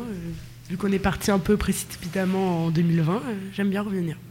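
A woman speaks at a medium pitch with fairly even intonation, and the room echo is audible. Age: 20s. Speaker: nursing student. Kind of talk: casual interview. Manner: hesitant, many fillers.

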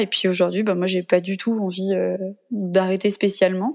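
The recording is very clean, with a silent background. A woman speaks in a dark, mellow tone with fairly even intonation. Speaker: mother sharing breastfeeding story. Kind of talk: testimony. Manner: gentle, spontaneous.

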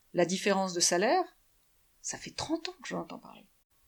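This woman talks at a fairly quick pace with a medium pitch. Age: 50s. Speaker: business owner. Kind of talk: interview.

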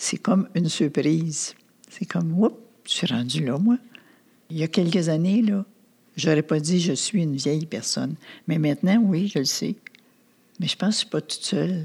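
Somewhat breathy, this voice moves at a moderate pace with lively intonation. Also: woman. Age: 80s+. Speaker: retired senior, Alzheimer caregiver. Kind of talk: interview testimony. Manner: halting.

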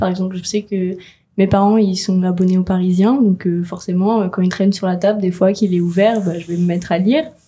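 A somewhat breathy woman's voice with a dark, mellow tone, a medium pitch and fairly even intonation. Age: young. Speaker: graphic design student, first-time voter. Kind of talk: radio interview. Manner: casual, hesitant with fillers.

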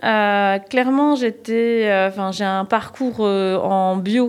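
A woman speaks at a fairly high pitch with ordinary pitch variation on a very clean recording with a silent background. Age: 40s. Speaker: organic cut-flower grower. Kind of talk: casual interview.

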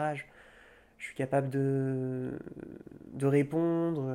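Sounding nervous, a man speaks at a fairly high pitch with fairly even intonation. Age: 20s. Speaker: shy young man interviewed about shyness. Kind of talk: intimate interview. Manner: halting; reserved, with nervous laughs.

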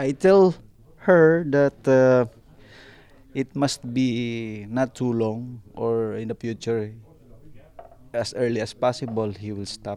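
A man with a Filipino accent speaks at a very slow pace in a dark, mellow tone. He leaves long, frequent pauses. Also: medium pitch for a man, ordinary pitch variation. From Philippines, Northern Mindanao. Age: 30s. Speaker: ship's second officer. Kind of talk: interview. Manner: halting.

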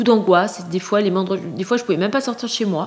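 Her voice is a plain, everyday voice, medium in pitch for a woman and varying in pitch in an ordinary way. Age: 50s. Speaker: person living with a mental illness. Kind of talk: testimony.

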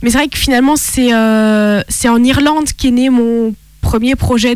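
A woman's high voice, with ordinary pitch variation, moves at a fairly slow pace. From France, Italian roots. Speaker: author and actress. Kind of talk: casual interview.

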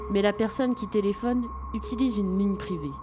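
A woman speaks in a dramatic tone at a fairly quick pace. Noticeable background noise runs behind her. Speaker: radio host. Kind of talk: horror story narration. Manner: dramatic, suspenseful storytelling pace.

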